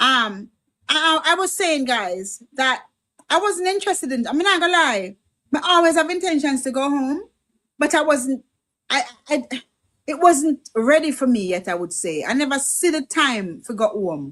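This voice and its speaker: A woman's high, bright, sharp voice at a moderate pace, swinging very widely in pitch. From Jamaica. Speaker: livestream host and medical worker. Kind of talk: casual political livestream chat.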